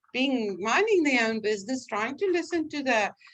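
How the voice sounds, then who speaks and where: High-pitched woman with a South African accent, lively intonation and a moderate pace. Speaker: vocational trainer. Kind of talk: lecture. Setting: online class. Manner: conversational.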